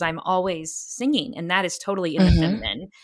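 A woman with an American accent and an ordinary speaking voice talks at a fairly quick pace in a medium pitch. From Texas. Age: 30s. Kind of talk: interview conversation.

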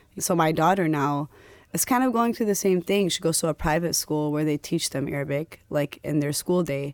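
A woman with an American accent and a very deep, low pitch talks at a moderate pace with ordinary pitch variation, the sound dry and close with no echo. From Dearborn, Michigan, US. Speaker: high school teacher. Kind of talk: casual chat.

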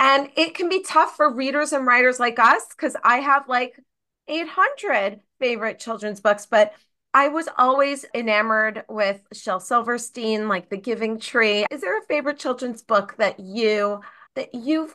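Speaking at a fairly slow pace, a woman has a high-pitched voice with a bright, sharp tone. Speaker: podcast host and educator. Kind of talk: interview, podcast host.

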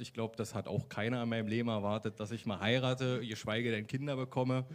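A man's plain, everyday voice, medium in pitch with ordinary pitch variation, at a fairly quick pace. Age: 30s. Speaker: social worker giving faith testimony. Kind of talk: testimony interview. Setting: church service with congregation.

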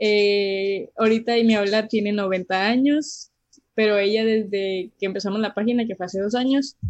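At a fairly slow pace, a woman with fairly high pitch speaks in a normal speaking voice. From Mexicali, Baja California, Mexico. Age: 20s. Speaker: cook and food social media creator. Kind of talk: casual interview chat.

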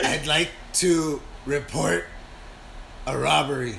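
Against clear background noise, a raspy put-on character voice speaks at a fairly slow pace. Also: man, medium pitch for a man.

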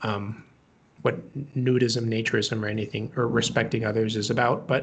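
A somewhat breathy man's voice at medium pitch. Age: 20s. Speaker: naturism activist. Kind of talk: casual interview. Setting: remote call.

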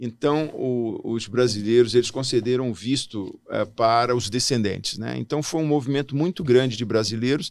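At a moderate pace with hardly any pauses, a man speaks in a plain, everyday voice at a medium pitch and ordinary pitch variation, on a very clean recording with a silent background. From Brasília, Brazil (born in Natal). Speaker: diplomat. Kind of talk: interview.

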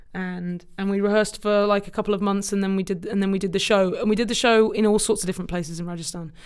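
A woman with a southern English accent talks at a very fast pace, hardly pausing, in a medium pitch. Her intonation is monotone and flat, and the recording is very clean with a silent background. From England, Cambridge. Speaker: film industry executive, former actor. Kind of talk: interview conversation. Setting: office podcast room.

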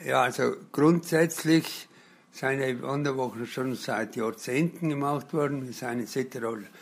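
A man with a South Tyrolean accent speaks at a fairly slow pace in a fairly high voice with ordinary pitch variation. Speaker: blind hiking week participant. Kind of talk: interview. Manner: hesitant with fillers.

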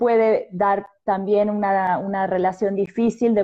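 A woman with a dark, mellow tone speaks fairly slowly in a flat monotone against a quiet background. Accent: Argentine. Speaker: psychologist. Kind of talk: interview.

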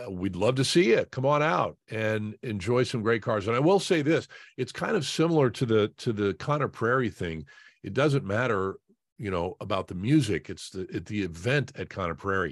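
The delivery has a moderate pace and lively intonation, in an American accent. It is an ordinary speaking voice against a quiet background. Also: man, medium pitch for a man. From Indianapolis, Indiana. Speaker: sports broadcaster. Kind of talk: casual interview.

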